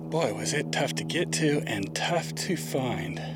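Over music in the background, a man speaks at a very slow pace with a dry sound that has no echo. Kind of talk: casual vlog chat. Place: open country. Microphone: phone near.

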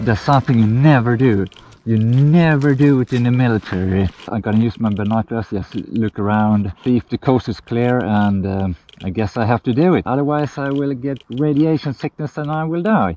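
With music in the background, a man talks at a moderate pace with ordinary pitch variation in a dry sound with no echo. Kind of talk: casual vlog chat. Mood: tense, quiet. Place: forest. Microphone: phone near.

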